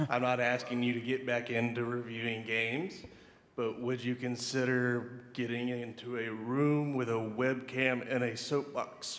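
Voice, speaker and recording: Audible room echo surrounds a man speaking at a fairly slow pace. His medium pitch stays monotone and flat. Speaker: audience member asking a question. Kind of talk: audience Q&A question. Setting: convention panel, stage with audience.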